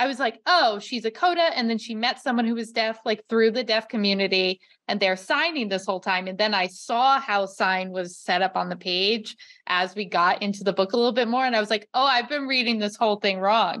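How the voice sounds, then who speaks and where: A fairly high-pitched woman with a normal speaking voice, a fairly quick pace, hardly any pauses and ordinary pitch variation, against a quiet background. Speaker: librarian and podcast host. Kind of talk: interview podcast.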